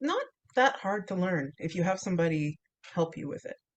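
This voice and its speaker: A woman with a fairly low pitch and lively intonation speaks in an unremarkable speaking voice. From Canada. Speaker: English teacher. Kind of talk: interview answer. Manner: casual, conversational.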